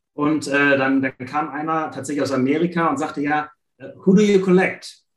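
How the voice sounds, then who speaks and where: Speaking at a moderate pace, a man with a normal speaking voice has a fairly high pitch and ordinary pitch variation. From Germany, Ratingen (Rhineland). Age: 40s. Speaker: sticker collector. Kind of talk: casual interview.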